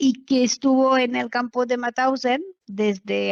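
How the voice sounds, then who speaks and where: The recording is dry and close, without any echo. It features a woman talking. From France, Normandy. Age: 60s. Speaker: daughter of a concentration camp survivor. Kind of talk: testimony interview. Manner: hesitant, many fillers.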